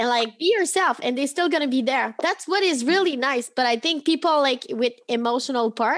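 A high-pitched woman talks at a fairly quick pace with hardly any pauses, lively intonation and very even loudness. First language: French. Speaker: podcast host. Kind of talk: casual chat.

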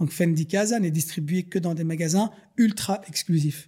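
A man with a high pitch, ordinary pitch variation and a moderate pace. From Brussels, Belgium (Schaerbeek). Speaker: luxury furniture business owner. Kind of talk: interview.

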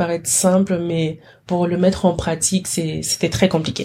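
Somewhat breathy, a woman's fairly low voice has a dark, mellow tone and a monotone, flat intonation. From DR Congo. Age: 20s. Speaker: chemistry master's student. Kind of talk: interview conversation.

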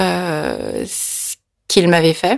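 This woman's pitch is fairly low. The sound is dry and close, with no echo. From France, near Nantes. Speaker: interview guest, Korean-born adoptee. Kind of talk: personal testimony interview. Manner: halting, with repetitions and fillers.

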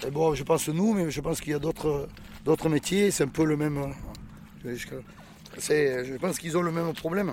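Pausing long and often, a man with a fairly high pitch keeps a moderate pace and fairly even intonation. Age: 50s. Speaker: oyster farmer. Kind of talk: interview.

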